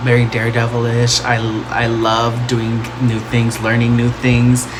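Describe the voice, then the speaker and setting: A man with an American accent at a moderate pace, amid audible room echo and noticeable background noise. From Texas, Plano/Dallas. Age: 20s. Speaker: makeup vlogger. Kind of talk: casual vlog tutorial.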